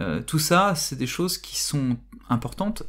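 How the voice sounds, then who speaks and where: Very slowly paced speech is heard against a silent background on a very clean recording. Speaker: philosophy teacher. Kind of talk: tutorial. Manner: halting.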